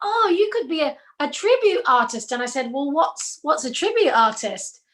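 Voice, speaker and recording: In an English accent, a woman talks at a moderate pace, her high voice swinging very widely in pitch. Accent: sounds English rather than Australian. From Australia. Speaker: singer and tribute artist. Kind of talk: casual chat. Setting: video call.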